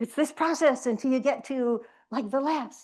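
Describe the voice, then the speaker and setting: A woman's high-pitched voice sounds animated over a quiet background. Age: 70s. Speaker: retreat presenter. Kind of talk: retreat talk. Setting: retreat room with audience and Zoom.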